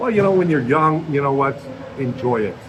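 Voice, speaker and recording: A man speaks with ordinary pitch variation amid audible room echo and noticeable background noise. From Canada. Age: 50s. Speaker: retiree, gym-goer. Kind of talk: casual chat. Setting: gym.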